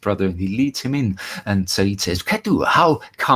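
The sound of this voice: This is an unforced reading voice. Nothing else is listed.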